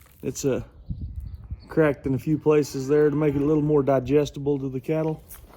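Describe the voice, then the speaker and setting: There is noticeable background noise behind this man's fairly high voice. His intonation stays fairly even. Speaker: cattle rancher. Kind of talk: casual farm tutorial. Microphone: no microphone on.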